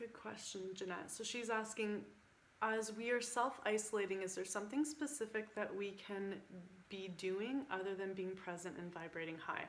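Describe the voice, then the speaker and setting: A woman at medium pitch and a moderate pace, with ordinary pitch variation and audible room echo. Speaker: spiritual coach. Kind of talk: group video call talk. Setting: online group call. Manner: animated.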